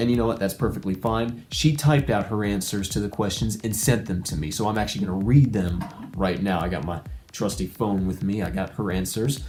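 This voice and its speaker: A man speaks with a fairly low pitch and lively intonation over noticeable background noise. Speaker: YouTuber. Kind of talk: vlog monologue. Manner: rambling.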